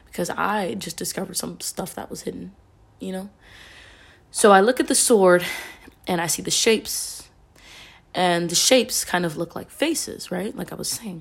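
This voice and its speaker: Vocal fry and big swings in loudness run through this voice, which has ordinary pitch variation and long, frequent pauses. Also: woman, medium pitch for a woman, moderate pace. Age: young. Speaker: podcast host and poet. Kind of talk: casual solo talk.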